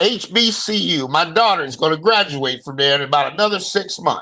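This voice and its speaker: Here a man uses a raised, projected voice. His pitch moves in very wide swings. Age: 60s. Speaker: podcast host. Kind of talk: casual chat. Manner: animated.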